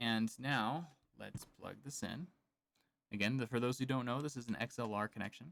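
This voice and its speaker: Soft-spoken and medium in pitch, a man talks at a moderate pace. His pitch variation is ordinary. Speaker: podcaster and meditation creator. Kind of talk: live unboxing and mic test. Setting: home podcast studio, live stream. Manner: casual, hesitant.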